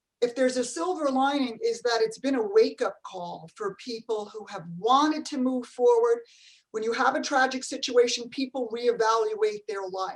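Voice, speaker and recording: A woman at a high pitch and moderate pace, with ordinary pitch variation and big swings in loudness. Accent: New Jersey. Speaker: franchise company CEO. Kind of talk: panel discussion.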